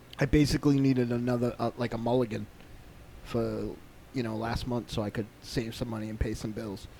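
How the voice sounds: Speaking at a fairly quick pace, a man uses a medium pitch with little pitch movement. His tone is dark and mellow, with vocal fry.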